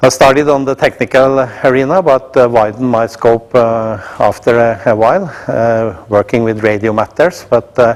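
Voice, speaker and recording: A man with a Norwegian accent talks at a moderate pace in a medium pitch, with ordinary pitch variation and hardly any pauses. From Norway. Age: 60s. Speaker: company executive. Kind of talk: introductory speech to staff. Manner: halting, many filler sounds.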